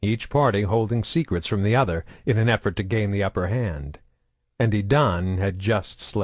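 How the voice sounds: Over a quiet background, the pitch of a natural reading voice varies in an ordinary way.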